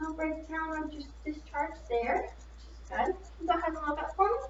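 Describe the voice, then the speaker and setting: A woman speaks over noticeable background noise. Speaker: nursing student. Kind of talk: clinical skills demonstration, head-to-toe assessment.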